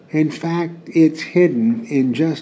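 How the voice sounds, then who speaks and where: A man's intonation is lively, with clear background noise behind him. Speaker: radio executive. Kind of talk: scripted commentary.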